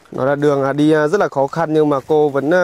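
A man speaks at a fairly quick pace with monotone, flat intonation, and the sound is dry with no echo. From Vietnam. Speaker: charity vlogger. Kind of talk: casual chat. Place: open country.

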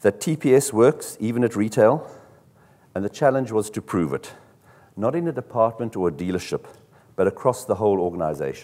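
Using a dark, mellow tone, a man speaks at a fairly quick pace with lively intonation. He leaves long, frequent pauses. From South Africa. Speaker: car dealership executive; conference presenter. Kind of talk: conference talk. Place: hall.

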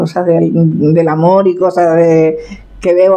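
A woman speaks with a Canarian accent at a fairly low pitch. Her intonation stays fairly even. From Tenerife, Canary Islands. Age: 70s. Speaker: farmer and folk poet. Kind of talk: interview answer. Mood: warm, reflective. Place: kitchen.

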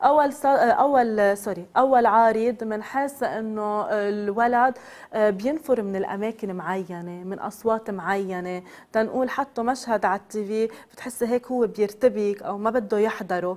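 At a fairly slow pace, a woman with a Lebanese accent talks in a fairly high voice with ordinary pitch variation. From Lebanon. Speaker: psychotherapist; guest. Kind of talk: TV interview. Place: studio. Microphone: lapel.

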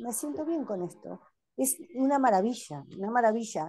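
Against light background noise, a woman with a Uruguayan accent has a dark, mellow tone and lively intonation. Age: 60s. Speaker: patient. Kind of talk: testimony. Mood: grateful, relieved. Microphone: video call.

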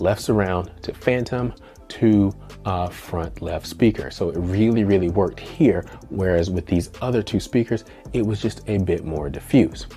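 A man's fairly low voice at a moderate pace, ordinary pitch variation, faint music in the background. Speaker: home theater reviewer. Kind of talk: review commentary. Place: home room.

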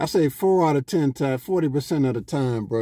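A man's dark, mellow tone at a very fast pace, dry with no echo. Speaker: vlogger. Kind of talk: casual vlog chat. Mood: joking, storytelling. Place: car. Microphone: phone near.

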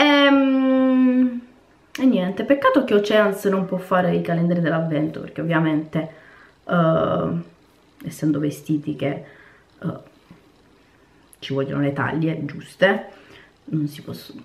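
At a fairly slow pace with long, frequent pauses, a woman with a fairly low pitch swings her pitch very widely. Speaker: cooking and lifestyle vlogger; vlogger. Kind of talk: casual vlog chat to camera. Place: home room. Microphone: phone near.

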